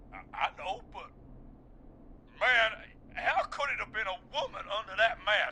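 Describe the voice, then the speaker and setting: Using a put-on character voice at an extremely high pitch, a man drawls at a moderate pace with long, frequent pauses over clear background noise. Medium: video game. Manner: casual, drawling, says "man" a lot.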